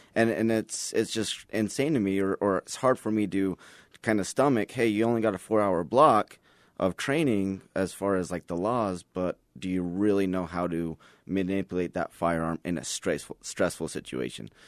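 In a plain, everyday voice, a man speaks at a moderate pace with a fairly low pitch and ordinary pitch variation, recorded dry and close with no echo against a quiet background. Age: 30s. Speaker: firearms instructor and police officer. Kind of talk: casual interview.

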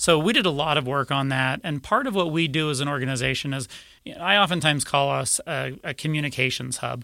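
With an American accent, a man speaks very fast in a fairly high, bright and sharp voice with ordinary pitch variation, on a very clean recording with a silent background. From Utah. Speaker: advocacy group executive director. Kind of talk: radio interview.

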